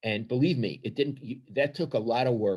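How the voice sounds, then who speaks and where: A man with a Brooklyn accent. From New York, Brooklyn. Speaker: retired sports columnist. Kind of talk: podcast interview. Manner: confrontational, emphatic.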